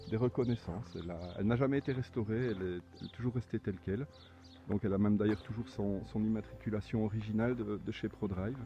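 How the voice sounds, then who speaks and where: Speaking at a very fast pace, a man with a fairly low pitch has a dark, mellow tone, a somewhat breathy quality and fairly even intonation. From Belgium. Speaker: car owner, amateur rally driver. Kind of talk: video presentation of own car. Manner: halting, many repetitions.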